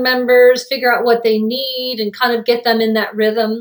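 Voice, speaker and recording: With a plain, everyday voice, a woman speaks at a moderate pace in a fairly high pitch. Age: 50s. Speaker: holistic health coach. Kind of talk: casual chat.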